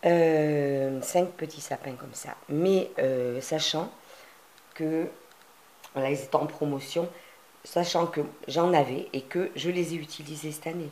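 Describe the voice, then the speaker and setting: A woman's very deep, low voice at a very slow pace, with fairly even intonation, big swings in loudness, and long, frequent pauses. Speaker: crafting youtuber. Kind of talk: tutorial. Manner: hesitant, many fillers.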